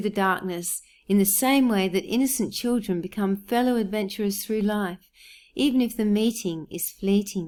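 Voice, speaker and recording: In an Australian accent, a woman speaks at a moderate pace and a medium pitch. Her intonation is fairly even, and the recording is very clean with a silent background. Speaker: poet. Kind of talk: educational commentary on poems.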